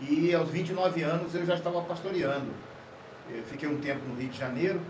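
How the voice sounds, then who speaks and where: The speech comes at a fairly quick pace with ordinary pitch variation, with audible room echo and noticeable background noise. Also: man, high pitch for a man. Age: 60s. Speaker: pastor. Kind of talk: podcast conversation. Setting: studio. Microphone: poor audio quality due to technical problems.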